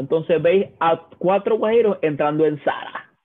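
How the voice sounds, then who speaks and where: A man with a Venezuelan accent speaks at a fairly slow pace. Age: 20s. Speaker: podcast co-host. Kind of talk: casual chat.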